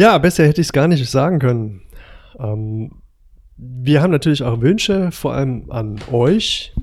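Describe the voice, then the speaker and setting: A man with an ordinary speaking voice talks at a fairly slow pace. His pitch is fairly high and his intonation lively. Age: 40s. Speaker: paramedic and podcast host. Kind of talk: casual chat.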